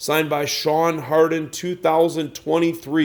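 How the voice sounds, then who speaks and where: Fairly slowly, a man talks in a fairly high voice. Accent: Chicago. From Chicago. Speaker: pool cue dealer. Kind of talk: product showcase video.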